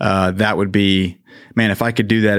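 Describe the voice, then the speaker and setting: An ordinary speaking voice from a man, fairly low-pitched, at a fairly quick pace with fairly even intonation, on a very clean recording with a silent background. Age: 40s. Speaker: marathon runner. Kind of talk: interview. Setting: studio.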